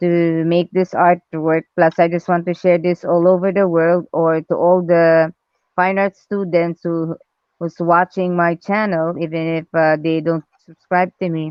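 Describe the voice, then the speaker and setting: The speaker has a non-native accent and monotone, flat intonation. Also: woman, fairly low pitch for a woman. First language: not English. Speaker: artist livestreaming drawing. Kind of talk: casual chat.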